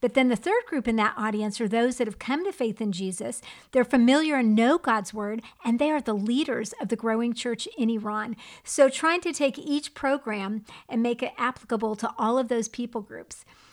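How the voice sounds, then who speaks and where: Recorded very cleanly against a silent background, a woman with an American accent and a plain, everyday voice speaks at a moderate pace, her fairly high pitch showing ordinary variation. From United States. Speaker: podcast co-host and TV presenter. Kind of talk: casual chat.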